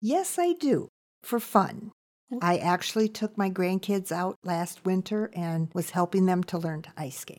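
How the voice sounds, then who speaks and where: A woman with an American accent speaks in a normal speaking voice at medium pitch, with ordinary pitch variation, a fairly slow pace and big swings in loudness. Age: 60s. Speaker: retired teacher, campground worker. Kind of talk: casual interview.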